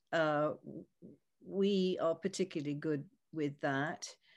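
An American-accented woman speaks at a very slow pace with lively intonation. The background is quiet. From US. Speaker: architect.

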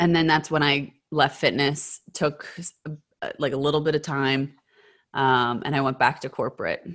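Speaking at a fairly slow pace over a quiet background, a woman with a very deep, low pitch delivers her words in a monotone, flat intonation. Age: 30s. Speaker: beauty advocate and social media influencer. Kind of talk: casual interview chat.

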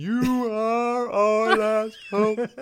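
A put-on character voice at a fairly high pitch. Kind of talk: formal, grand. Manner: odd, stilted, solemn.

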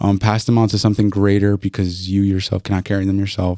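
A man with an American accent talks at a moderate pace in a fairly low, dark, mellow voice. His intonation is monotone and flat, and the sound is dry and close with no echo. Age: 20s. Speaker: podcast host. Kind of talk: casual chat.

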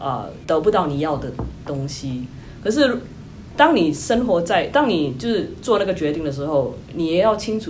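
Lively intonation at a fairly quick pace, somewhat breathy, with audible room echo. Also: woman. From Singapore. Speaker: tech company employee, former consultant. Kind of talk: interview.

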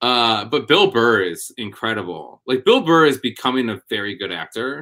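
The tone is bright and sharp, with an American accent. The recording is very clean, with a silent background. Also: man. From Wisconsin. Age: 30s. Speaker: comedian and show producer. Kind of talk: casual chat.

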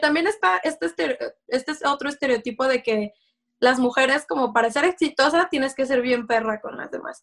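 A woman at a moderate pace with lively intonation, on a very clean recording with a silent background. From Mexico, Guadalajara, Jalisco. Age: 30s. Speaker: electronics engineer and fashion blogger. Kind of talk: casual interview chat.

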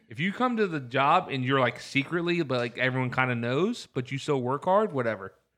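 A man with a normal speaking voice, fairly high in pitch, at a fairly quick pace with hardly any pauses, lively intonation and a quiet background. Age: 30s. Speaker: podcast co-host. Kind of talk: casual chat.

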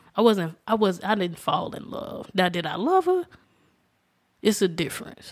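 In a Southern US accent, a woman talks at a moderate pace and a medium pitch with lively intonation, big swings in loudness, and long, frequent pauses. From Alabama. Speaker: guest, friend and cousin of host. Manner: calm, soft-spoken.

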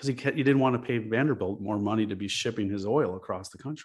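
Against a quiet background, a man with a plain, everyday voice speaks with an American accent at a fairly low pitch and ordinary pitch variation. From Chicago. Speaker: architect and self-storage investor. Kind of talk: interview.

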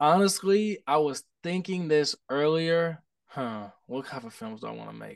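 A man with an unremarkable speaking voice and an American accent, fairly high-pitched, at a fairly slow pace with big swings in loudness. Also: lively intonation. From Indianapolis, Indiana. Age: 20s. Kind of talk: casual chat.

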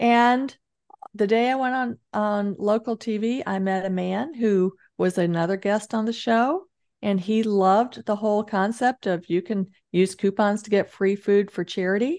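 Woman with a plain, everyday voice, medium pitch, ordinary pitch variation, and a moderate pace against a quiet background. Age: 60s. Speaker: author and entrepreneur. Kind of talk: interview.

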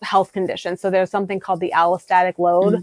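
A woman with an American accent, medium pitch and monotone, flat intonation in a dry, close sound with no echo. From US Midwest (South Dakota). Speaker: dietitian. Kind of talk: interview.

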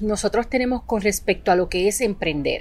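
A woman's unremarkable speaking voice, lively in intonation. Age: 40s. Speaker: psychologist and entrepreneurship coach. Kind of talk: casual interview.

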